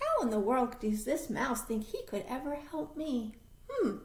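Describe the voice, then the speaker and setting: Putting on a character voice, a woman speaks in a high pitch at a moderate pace with lively intonation over light background noise. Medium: read story. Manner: warm, polite.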